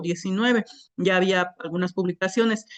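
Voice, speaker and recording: With a southern Mexican accent, a woman talks at a moderate pace and medium pitch with fairly even intonation. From Isthmus of Tehuantepec, Oaxaca, Mexico. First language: Isthmus Zapotec (speaking Spanish). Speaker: poet. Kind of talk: panel talk. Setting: museum event with microphones. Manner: hesitant, many filler sounds.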